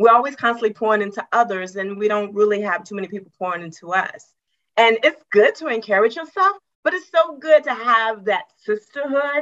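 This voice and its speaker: A woman with an American accent and a plain, everyday voice talks at a fairly quick pace and fairly high pitch, her intonation lively and her loudness swinging widely. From West Virginia, US. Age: 50s. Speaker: retired government worker, women's coach. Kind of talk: interview podcast. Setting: video call.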